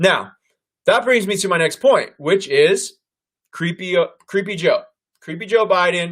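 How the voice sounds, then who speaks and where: A man talks loudly in a high pitch, with ordinary pitch variation. His pace is fairly slow, broken by long, frequent pauses. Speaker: political commentary host. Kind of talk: live stream commentary. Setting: live online stream.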